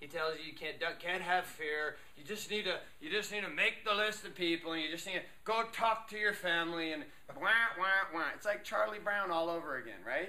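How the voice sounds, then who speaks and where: A man speaks at a fairly quick pace and high pitch, with ordinary pitch variation. Audible room echo surrounds his voice. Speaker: motivational speaker. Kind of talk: workshop talk. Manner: animated.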